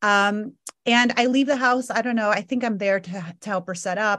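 A woman with a plain, everyday voice at medium pitch, lively intonation, and a quiet background. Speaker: podcast co-host. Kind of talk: casual chat.

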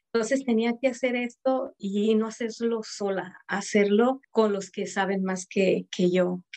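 A woman speaks in an unremarkable speaking voice, fairly high in pitch and fairly slow, with fairly even intonation, hardly any pauses, and a dry, close sound with no echo. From Mexico. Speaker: entrepreneur. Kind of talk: interview.

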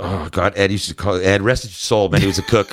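With an American accent, a man speaks at a fairly quick pace. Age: 40s. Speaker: former musician and tournament angler. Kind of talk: casual chat. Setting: studio.

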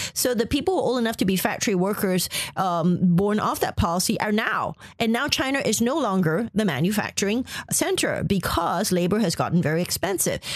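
Her loudness very even, a woman speaks at a fairly quick pace and medium pitch with lively intonation over noticeable background noise. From Malaysia. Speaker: journalist and author. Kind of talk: interview.

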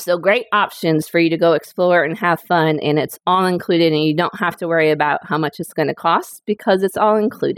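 A woman with an American accent has a plain, everyday voice and ordinary pitch variation. The sound is dry and close, with no echo. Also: fairly low pitch for a woman. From Northwest Indiana. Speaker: travel agent. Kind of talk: casual interview chat.

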